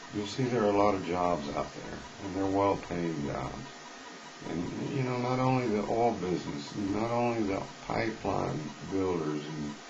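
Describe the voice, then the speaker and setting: With a Texan accent, a man speaks at a moderate pace in a fairly low voice with lively intonation, leaving long, frequent pauses. Audible room echo and noticeable background noise surround him. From Texas. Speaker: unemployed worker vlogger. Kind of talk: political monologue. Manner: earnest, conversational.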